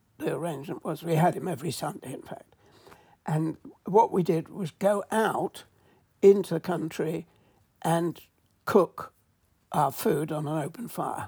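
With an English accent, a woman speaks fairly slowly at a fairly low pitch, pausing long and often. Her tone is dark and mellow, with big swings in loudness and ordinary pitch variation. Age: 80s+. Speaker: mushroom expert and author. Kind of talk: interview.

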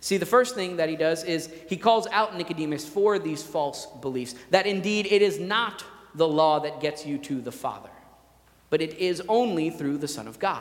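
Loud and at a moderate pace, a man speaks with a high pitch. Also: ordinary pitch variation. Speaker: pastor. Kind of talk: sermon. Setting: church.

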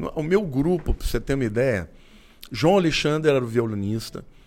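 A man's voice with lively intonation. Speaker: pastor. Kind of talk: interview.

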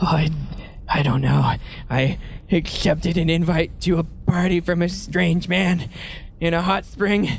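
A put-on character voice sits at a middle pitch and moves at a fairly slow pace. Clear background noise runs behind it. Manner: lost, wistful.

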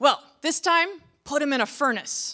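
On a very clean recording with a silent background, a woman does a put-on character voice with a high pitch, a bright, sharp tone and lively intonation at a fairly slow pace.

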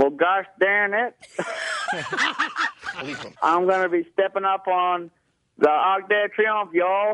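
A man's high, drawling put-on character voice in a Southern US accent, at a fairly slow pace with long, frequent pauses. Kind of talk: folksy. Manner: slow, drawling.

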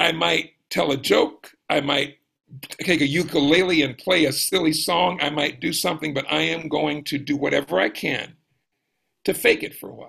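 Speaking with an American accent, a man has a fairly high pitch, vocal fry and a bright, sharp tone. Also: ordinary pitch variation, moderate pace. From US South, South Georgia. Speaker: jazz pianist and life coach. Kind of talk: casual chat.

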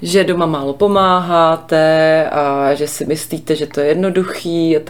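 A woman with a fairly low pitch speaks at a fairly slow pace in a monotone, flat intonation, with hardly any pauses. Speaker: parenting podcast co-host. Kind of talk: casual chat.

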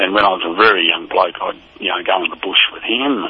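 Over noticeable background noise, a man with an Australian accent speaks at a moderate pace. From Tasmania, Hobart area. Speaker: former footballer. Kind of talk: casual interview, reminiscing. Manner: halting, many fillers.

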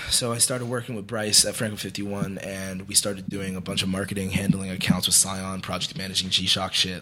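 A man speaks at a moderate speed. Music runs underneath his words. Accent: American. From New Jersey. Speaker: musician and clothing entrepreneur. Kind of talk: casual interview chat.

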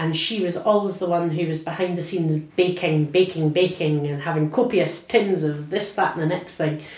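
Over noticeable background noise and audible room echo, a woman with an Edinburgh accent speaks at a moderate pace in a fairly low pitch, with fairly even intonation and hardly any pauses. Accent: Scottish (Edinburgh). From Scotland, near Edinburgh. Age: 40s. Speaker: oral history interviewee. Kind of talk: personal reminiscence interview.

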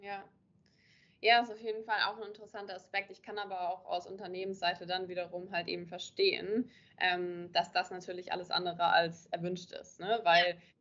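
A woman's fairly quick speech in a monotone, flat intonation. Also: medium pitch for a woman, big swings in loudness. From northern Germany, Kiel. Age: 20s. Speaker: social media marketing coach. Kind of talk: interview. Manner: hesitant, many filler sounds.

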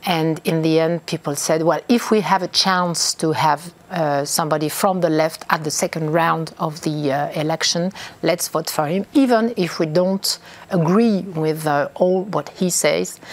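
A woman with a French accent, fairly low in pitch, at a fairly slow pace with ordinary pitch variation. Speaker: politician. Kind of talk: interview. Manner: halting.

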